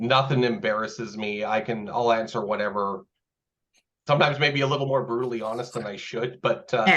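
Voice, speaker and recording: A man speaks with a Canadian accent in a medium pitch. He uses a normal speaking voice. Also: ordinary pitch variation, fairly quick pace. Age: 30s. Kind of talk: casual interview conversation.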